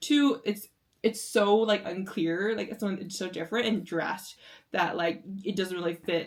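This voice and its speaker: A woman at a medium pitch with an American accent and ordinary pitch variation. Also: moderate pace. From United States. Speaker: reaction youtuber. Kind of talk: casual reaction commentary. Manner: halting, many fillers and restarts.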